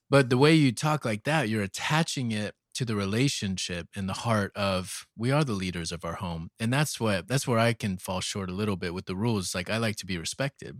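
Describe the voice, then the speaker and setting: A man with a plain, everyday voice, fairly low in pitch, with lively intonation, a fairly quick pace and hardly any pauses, on a very clean recording with a silent background. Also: dry, close sound with no echo. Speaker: pastor and podcast co-host. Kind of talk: casual chat. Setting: home bedroom. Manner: relaxed.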